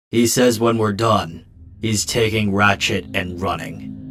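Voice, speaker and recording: In a put-on character voice, a man speaks fairly slowly with a raspy, fairly low pitch on a very clean recording with a silent background. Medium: fan dub. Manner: calm, measured.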